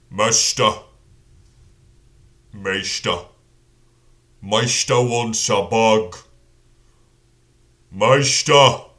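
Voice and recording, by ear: In a put-on character voice, a man at medium pitch speaks at a very slow pace with long, frequent pauses.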